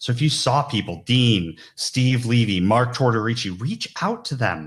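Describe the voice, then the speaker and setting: On a very clean recording with a silent background, a man at a medium pitch talks at a fairly slow pace with ordinary pitch variation. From New York. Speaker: recruiter, conference keynote speaker. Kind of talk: keynote talk. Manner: loud.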